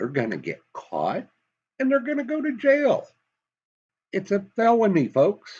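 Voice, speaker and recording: Speaking in a Southern US accent, a man talks at a fairly slow pace with long, frequent pauses. His pitch swings very widely. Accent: Southern US, slips into it. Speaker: political commentator. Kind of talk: commentary monologue. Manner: animated.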